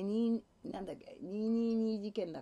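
A woman speaks at a fairly high pitch with a dark, mellow tone. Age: old. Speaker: livestreamer's mother. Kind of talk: casual livestream chat with viewers. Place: home room. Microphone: webcam.

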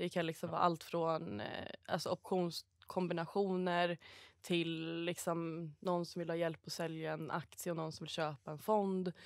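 In a plain, everyday voice, a woman with a fairly low pitch speaks at a moderate pace with fairly even intonation, the sound dry with no echo and the background quiet. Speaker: stockbroker. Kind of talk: casual podcast chat. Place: studio.

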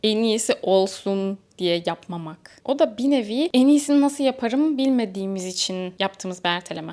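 With a normal speaking voice, a woman talks at a moderate pace in a fairly high pitch, using lively intonation and hardly any pauses. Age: 20s. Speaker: self-improvement youtuber and social media coach. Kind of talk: motivational talk to camera.

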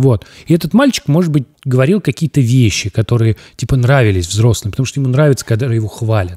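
Against a quiet background, a man talks at a very fast pace in a medium pitch, his tone dark and mellow, his intonation lively, and his voice somewhat breathy. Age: 30s. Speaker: podcast host, former news journalist. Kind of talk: casual chat. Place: studio. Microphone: studio mic.

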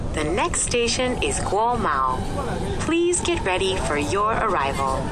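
Loud background noise accompanies speech at a very slow pace. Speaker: subway announcer. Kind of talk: subway announcement. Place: train.

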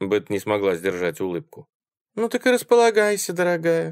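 A man speaks with very wide swings in pitch, recorded dry and close with no echo. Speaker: audiobook narrator. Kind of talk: horror story audiobook reading.

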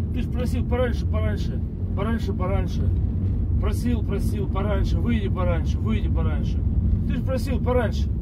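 A man at a moderate pace with ordinary pitch variation and long, frequent pauses, over loud background noise. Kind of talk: comic rant to passenger. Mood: exasperated comic complaint. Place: car.

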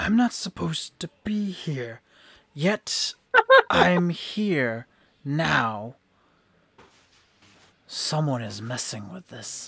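A man puts on a character voice at a fairly high pitch, with very wide pitch swings. He goes at a very slow pace with long, frequent pauses. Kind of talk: game master voicing villain. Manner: menacing, eager for battle.

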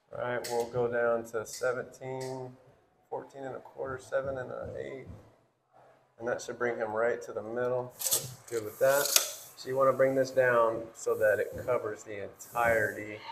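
Noticeable background noise sits behind a man speaking at a moderate pace. His loudness swings widely. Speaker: trade school instructor. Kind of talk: tutorial. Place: empty room. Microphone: phone near.

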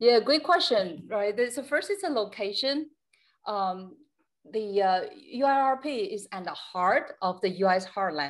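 Over a quiet background, a woman with a Chinese accent talks very slowly in a fairly high pitch with very wide pitch swings. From China. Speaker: company executive. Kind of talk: panel presentation. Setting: video call. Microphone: video call.

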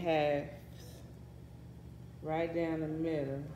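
In a room with audible echo, a woman speaks very slowly in a dark, mellow tone. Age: 30s. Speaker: family vlogger. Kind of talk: cooking vlog. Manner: casual, animated.

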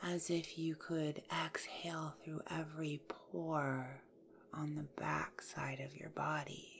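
This woman speaks very slowly in a very deep, low pitch, with vocal fry and a calm, soothing tone. Her intonation stays monotone and flat. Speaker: yoga nidra guide. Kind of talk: guided yoga nidra meditation. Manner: slow, calm, soothing.

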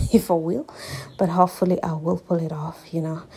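With light background noise behind her, a woman speaks at a moderate pace in a fairly low pitch. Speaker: vlogger. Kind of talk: casual vlog chat. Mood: cheerful, excited. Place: bathroom. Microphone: phone near.

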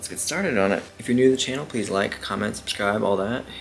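Clear music plays in the background as a man with a fairly low pitch talks at a very fast pace. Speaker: reaction channel host. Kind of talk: casual vlog chat. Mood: upbeat, friendly. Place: home room.

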